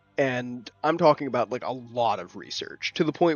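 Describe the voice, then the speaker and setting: With music in the background, a man speaks quietly at a fairly quick pace, with a medium pitch and ordinary pitch variation. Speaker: gaming YouTuber and IT security worker. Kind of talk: casual vlog commentary. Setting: at home late at night. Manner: quiet, keeping voice down; halting with fillers.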